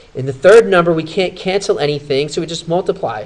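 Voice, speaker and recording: Very fast speech from a man with a fairly high pitch, noticeable background noise behind it. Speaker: math teacher. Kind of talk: tutorial.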